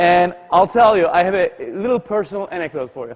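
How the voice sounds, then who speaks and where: Energetic in tone, a man with a Turkish accent speaks at a fairly quick pace with ordinary pitch variation. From Turkey, Istanbul. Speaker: tech company CEO, speaker. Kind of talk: motivational keynote speech.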